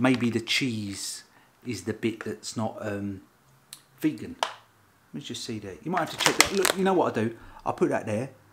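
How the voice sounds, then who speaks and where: Noticeable background noise fills the clip. A man's speech moves at a moderate pace. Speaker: food reviewer. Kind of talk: casual vlog chat. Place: kitchen. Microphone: phone near.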